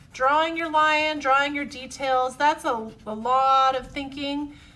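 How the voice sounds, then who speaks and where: A woman speaks at a moderate pace in a high pitch. Her voice is raised and projected. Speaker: art teacher. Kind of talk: tutorial. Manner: friendly, encouraging.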